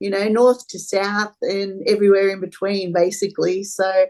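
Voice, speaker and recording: With an Australian accent, a woman speaks at a fairly slow pace. Her pitch sits in the medium range. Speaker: charity volunteer, football fan. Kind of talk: casual interview chat.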